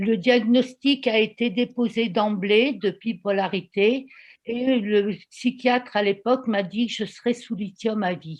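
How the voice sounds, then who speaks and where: Her pace is very slow. This woman has a fairly high pitch that varies in an ordinary way. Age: 60s. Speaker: volunteer giving testimony. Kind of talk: testimony.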